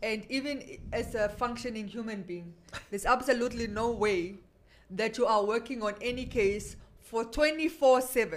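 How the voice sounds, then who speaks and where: A woman's unremarkable speaking voice, fairly high in pitch with ordinary variation, at a moderate pace. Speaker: radio host. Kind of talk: casual radio chat.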